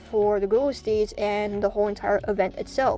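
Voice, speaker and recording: A woman's fairly high voice at a moderate pace, with ordinary pitch variation and music in the background. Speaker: gaming YouTuber. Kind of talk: gameplay commentary. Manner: casual; halting.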